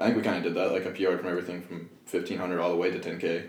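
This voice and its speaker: Talking very fast with an American accent, a man has a very deep, low pitch, heard over noticeable background noise. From Kentucky, US. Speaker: professional distance runner. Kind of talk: casual chat.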